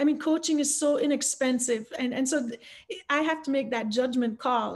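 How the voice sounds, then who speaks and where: A woman talks at a very fast pace with a high pitch. Her intonation stays fairly even. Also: quiet background. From Jamaica, Kingston suburbs; Jamaica. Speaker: fundraising coach, author; fundraising coach. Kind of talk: panel discussion. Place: home room. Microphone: webcam.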